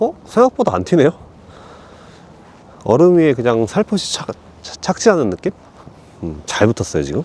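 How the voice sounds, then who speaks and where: In a dry, close sound with no echo, a man with a fairly high voice moves at a moderate pace, his pitch swinging very widely and his loudness shifting in big swings, broken by long, frequent pauses. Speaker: professional golfer and golf YouTuber. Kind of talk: casual vlog narration on the course. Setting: outdoors at a par-3 golf course. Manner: filler-heavy, frequent 네 and 어.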